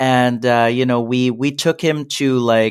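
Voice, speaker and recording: A man with an unremarkable speaking voice talks at a medium pitch, fairly slowly, with fairly even intonation. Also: very clean recording, silent background. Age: 30s. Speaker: entrepreneur and SEO business owner. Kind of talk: interview.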